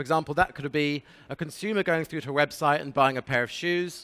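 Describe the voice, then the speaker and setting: A fairly high-pitched man with a British accent talks at a fairly quick pace, his bright, sharp tone dry and close with no echo. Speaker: sales manager at an affiliate network, conference speaker. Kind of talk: conference presentation. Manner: fast.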